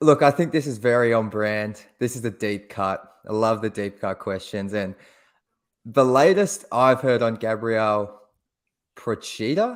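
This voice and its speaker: A man with an Australian accent talks at a fairly slow pace, his pitch medium with ordinary variation. The recording is very clean, with a silent background. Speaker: basketball podcast co-host. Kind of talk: casual chat.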